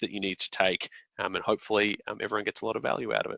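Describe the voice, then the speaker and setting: A man with an Australian accent. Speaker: software company general manager, conference presenter. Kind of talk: conference presentation. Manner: frequent fillers and hesitations.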